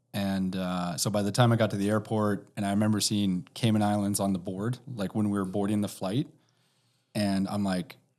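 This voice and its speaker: With a Canadian accent, a man speaks in a plain, everyday voice at a moderate pace, fairly low in pitch with fairly even intonation, in a very clean recording with a silent background. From Canada. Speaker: precious metals storage executive. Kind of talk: casual interview.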